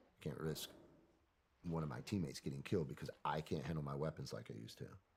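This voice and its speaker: Very deep and low in pitch, a man talks at a very fast pace with vocal fry and ordinary pitch variation. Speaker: military veteran. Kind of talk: interview. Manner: casual, conversational.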